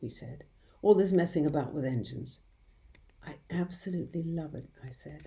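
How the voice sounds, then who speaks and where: A woman speaks in a very deep, low, dark, mellow voice with vocal fry and ordinary pitch variation. Her pace is moderate, with long, frequent pauses and big swings in loudness. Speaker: audiobook reader. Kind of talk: children's audiobook narration. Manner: warm, expressive storytelling.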